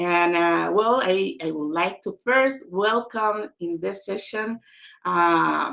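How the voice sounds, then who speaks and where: Spanish-accented speech from a woman. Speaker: author. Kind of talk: online book launch talk.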